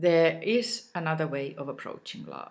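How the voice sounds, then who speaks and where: The voice belongs to a woman. She speaks neither fast nor slow, at a moderate pace. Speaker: self-love coach. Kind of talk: reflective monologue.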